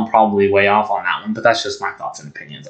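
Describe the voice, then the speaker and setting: A man with a fairly low voice talks at a very fast pace over noticeable background noise. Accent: American. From Montana. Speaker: sports podcast host. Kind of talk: casual monologue. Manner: halting, many ums.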